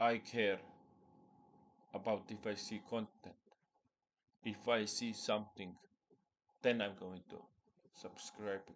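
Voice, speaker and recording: With a non-native accent, a man speaks very slowly in a fairly low, monotone voice with flat intonation and long, frequent pauses. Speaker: spiritual content creator. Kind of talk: personal vlog monologue.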